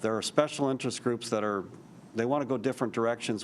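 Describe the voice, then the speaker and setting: A man is speaking. His intonation is fairly even. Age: 60s. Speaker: state politician. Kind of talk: town hall remarks to constituents. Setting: city council chambers, public meeting. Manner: halting, many restarts.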